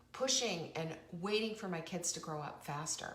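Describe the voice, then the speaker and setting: The speech moves at a moderate pace with ordinary pitch variation. Audible room echo and noticeable background noise come through. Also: woman. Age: 60s. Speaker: talk show host and cookbook author. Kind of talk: motivational live-stream monologue. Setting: live online show. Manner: conversational.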